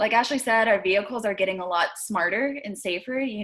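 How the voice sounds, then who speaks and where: Her pitch varying in an ordinary way, a woman talks at a very fast pace. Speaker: city traffic safety planner. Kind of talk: panel presentation.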